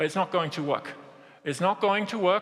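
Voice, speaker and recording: A man with a strong German accent speaks in a raised, projected voice. His intonation is lively, and there is noticeable background noise. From Germany. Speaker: business executive. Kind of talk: keynote speech.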